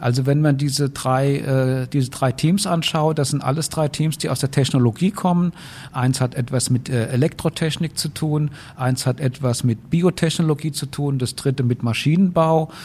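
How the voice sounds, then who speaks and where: Somewhat breathy and fairly high, a man's voice moves at a moderate pace with fairly even intonation. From Rhineland-Palatinate, Germany. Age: 50s. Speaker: university president, professor. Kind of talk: interview.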